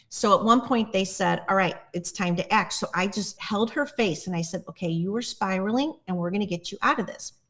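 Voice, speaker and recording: The recording is very clean, with a silent background, as a woman talks at a moderate pace. She has an ordinary speaking voice, medium in pitch, with ordinary pitch variation. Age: 60s. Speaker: plant medicine guide. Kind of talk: casual chat. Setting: podcast interview.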